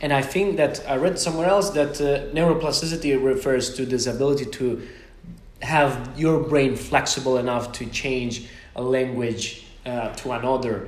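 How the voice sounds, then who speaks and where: Noticeable background noise runs under the speech. The pace is moderate, and the pitch varies in an ordinary way. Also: man, medium pitch for a man. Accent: Italian. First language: Italian. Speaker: podcast host. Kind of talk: interview conversation. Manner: halting.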